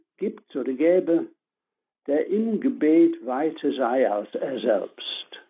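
A man with an English accent at a very slow pace. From northern England (Leeds), Irish family. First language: English (speaking German). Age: 70s. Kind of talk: spiritual talk on prayer. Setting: phone call.

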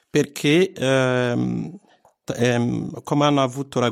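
Speaking with an Italian accent, a man keeps a medium pitch and a fairly slow pace. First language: Italian (speaking German). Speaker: radio network coordinator. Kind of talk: interview. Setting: studio.

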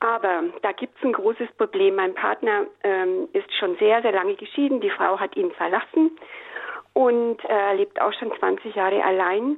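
A woman speaks at a fairly slow pace with lively intonation and a fairly high pitch. Noticeable background noise runs underneath. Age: 60s. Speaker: radio caller. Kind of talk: call-in question. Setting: phone call.

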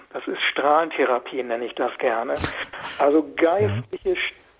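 A man's moderate pace comes across with noticeable background noise behind him. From Westphalia, Germany (Münsterland / Osnabrück area). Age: 60s. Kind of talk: radio interview. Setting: phone call.

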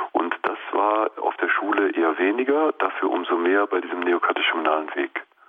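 A man talks at a moderate pace with hardly any pauses. Noticeable background noise runs beneath his voice. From Lower Rhine, Germany (Mönchengladbach). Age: 50s. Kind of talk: radio interview.

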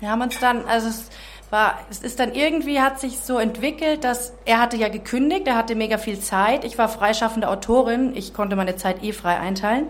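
With an unremarkable speaking voice, a woman talks at a fairly high pitch and fairly quick pace with ordinary pitch variation. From Czech Republic. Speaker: author. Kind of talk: testimony.

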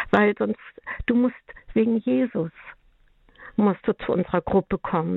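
A woman talks in a normal speaking voice at a medium pitch. Her intonation is fairly even and her pace is moderate. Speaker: caller. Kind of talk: testimony.

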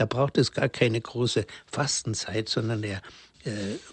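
At a fairly slow pace, a man speaks in a somewhat breathy way. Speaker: priest. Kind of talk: religious talk. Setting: remote line into radio studio.

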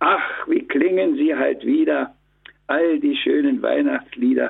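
At a very slow pace, a man speaks. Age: 80s+. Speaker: deacon and poet. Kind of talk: religious radio interview.

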